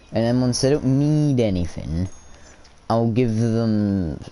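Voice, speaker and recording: Over noticeable background noise, a man with a Scottish accent talks in an animated tone at a fairly low pitch and fairly slow pace, his pitch varying in an ordinary way. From Scotland. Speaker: gamer streamer. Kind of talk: gameplay commentary. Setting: live stream. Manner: casual, animated.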